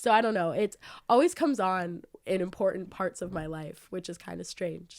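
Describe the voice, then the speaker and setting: A woman with an American accent and vocal fry speaks at a medium pitch in a very clean recording with a silent background. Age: young. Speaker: student. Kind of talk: casual interview. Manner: hesitant, many fillers.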